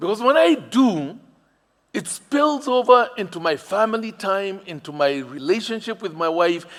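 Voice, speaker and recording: Animated and slow-paced, a man with a Kenyan accent speaks in a high pitch that swings very widely. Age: 60s. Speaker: pastor. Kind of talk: sermon.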